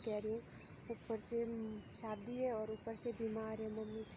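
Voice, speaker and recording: Soft-spoken and monotone, a woman talks at a fairly high pitch with flat intonation amid noticeable background noise. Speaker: vlogger. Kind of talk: casual vlog talk.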